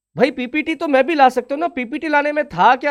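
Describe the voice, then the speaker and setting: The man's pitch shows ordinary variation. He speaks at a moderate pace, and the background is quiet. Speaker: online exam-prep teacher. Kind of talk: live online class, talking to students. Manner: stern-sounding, students think he is angry.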